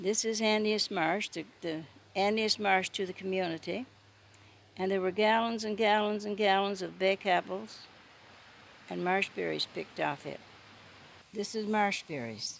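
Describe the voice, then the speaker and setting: A woman speaks with a Newfoundland accent at a medium pitch and with ordinary pitch variation. Her pace is moderate, broken by long, frequent pauses. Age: 80s+. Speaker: storyteller. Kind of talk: casual talk to camera, reminiscence.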